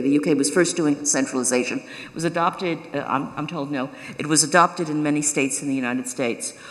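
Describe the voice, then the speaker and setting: Talking at a very fast pace, a woman with an American accent uses a very deep, low pitch and ordinary pitch variation, with noticeable background noise behind her. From New York. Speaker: professor of cybersecurity policy. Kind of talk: keynote lecture. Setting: stage with live audience. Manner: halting, many fillers and restarts.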